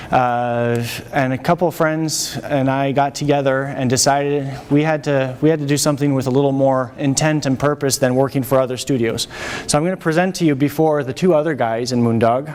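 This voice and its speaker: With a French accent, the speaker goes at a fairly quick pace with fairly even intonation against noticeable background noise. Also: man, fairly high pitch for a man. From France. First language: French and English. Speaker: animation studio technology chief. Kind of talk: lecture. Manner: halting.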